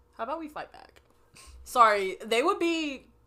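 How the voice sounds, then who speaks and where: An animated woman speaks at a moderate pace with very wide pitch swings. Noticeable background noise is present. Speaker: podcast co-host. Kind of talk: casual chat. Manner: loud.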